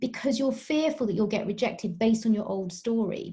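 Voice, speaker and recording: Speaking with a British accent, a woman with a fairly high pitch has a dark, mellow, somewhat breathy tone and ordinary pitch variation. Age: 40s. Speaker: dietitian and sports nutritionist. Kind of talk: podcast interview.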